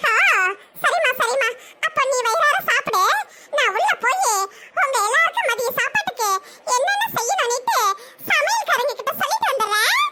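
A woman does a cartoonish character voice at an extremely high pitch. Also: moderate pace, ordinary pitch variation. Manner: grumbling, sharp-tongued.

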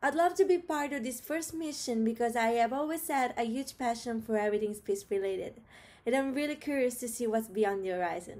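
A woman's high-pitched voice with lively intonation at a fairly quick pace. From Rome, Italy; Italy. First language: Italian. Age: 20s. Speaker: biology student. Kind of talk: prepared video application. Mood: cheerful, eager. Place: home room. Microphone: webcam.

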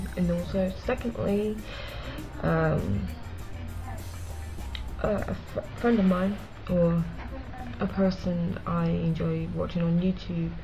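Over clear background music, a woman with a British accent speaks very slowly, leaving long, frequent pauses. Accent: British-sounding. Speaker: vlogger. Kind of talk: casual talk to camera. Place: home room. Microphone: webcam.

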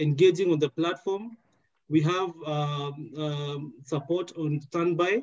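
Ordinary pitch variation marks how this man talks. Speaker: event moderator. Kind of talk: housekeeping announcement. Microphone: headset.

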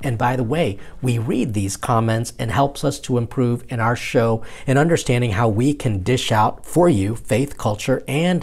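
A man talks at a moderate pace with hardly any pauses, his voice somewhat breathy and his pitch varying in an ordinary way. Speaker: priest show host. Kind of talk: casual vlog chat. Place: home room. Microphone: lapel.

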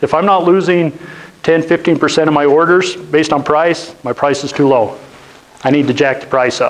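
The speaker talks at a moderate pace in a Utah accent with fairly even intonation. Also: man, fairly high pitch for a man. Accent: Western US (Utah). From northeastern Utah (Roosevelt). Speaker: business owner, guest speaker; guest. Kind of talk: lecture. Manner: conversational, interactive with audience. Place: classroom. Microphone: lapel.

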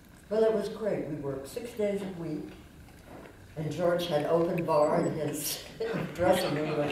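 Speaking at a fairly slow pace with long, frequent pauses, a woman shows ordinary pitch variation amid light background noise and audible room echo. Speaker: actress. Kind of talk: interview answer. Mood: warm, fond. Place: stage. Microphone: handheld.

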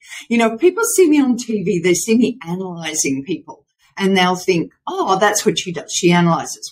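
A woman with a somewhat breathy voice makes very wide pitch swings over a quiet background. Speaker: remote podcast guest, voice coach. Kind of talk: interview answer. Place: home room.

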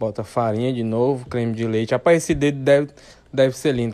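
A man at medium pitch and a fairly quick pace, with fairly even intonation, in a very clean recording with a silent background. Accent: northeastern Brazilian. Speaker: video narrator. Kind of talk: comedic commentary over food video. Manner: joking, sarcastic.

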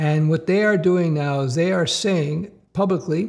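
Over a quiet background, a man speaks in a somewhat breathy voice with ordinary pitch variation. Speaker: career coach for developers. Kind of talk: commentary. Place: home room.

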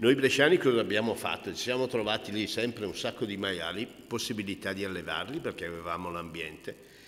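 An unremarkable speaking voice, a man's fairly low pitch moves at a fairly quick pace with ordinary pitch variation and hardly any pauses. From Italy, Brescia lowlands (Cigole); Italy. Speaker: cured meats expert and taster; presenter. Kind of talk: talk at a book presentation. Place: hall. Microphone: podium.

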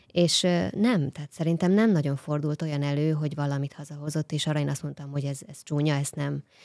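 Against a quiet background, a woman talks at a fairly quick pace in a dry sound with no echo. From Hungary. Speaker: guest, wife of smart home enthusiast. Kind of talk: casual chat. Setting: studio. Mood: warm, relaxed. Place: studio. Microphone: studio mic.

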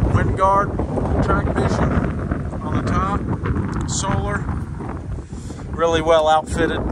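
At a very slow pace, the voice comes through with a dry sound and no echo over loud background noise. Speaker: RV salesman. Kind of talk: walkaround sales commentary. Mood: relaxed, casual. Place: street. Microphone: phone near.

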